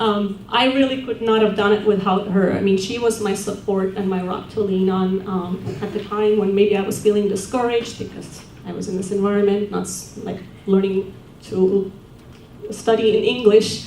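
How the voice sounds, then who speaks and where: In an Estonian accent, a woman speaks in a flat monotone at a medium pitch and moderate pace. There is audible room echo. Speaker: award-winning alumna, social work academic. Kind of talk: award acceptance speech. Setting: banquet with audience.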